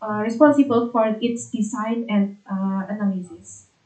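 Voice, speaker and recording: A woman with an Indonesian accent speaks at a fairly slow pace and a fairly high pitch. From Indonesia, South Tangerang near Jakarta. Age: 20s. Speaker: doctoral student. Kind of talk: academic progress presentation. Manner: halting, many fillers.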